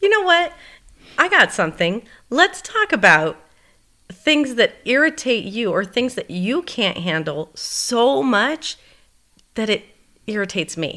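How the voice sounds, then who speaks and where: A woman with a bright, sharp tone and vocal fry speaks at a fairly high pitch with very wide pitch swings, at a fairly slow pace with long, frequent pauses. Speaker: podcast co-host. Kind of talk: casual chat.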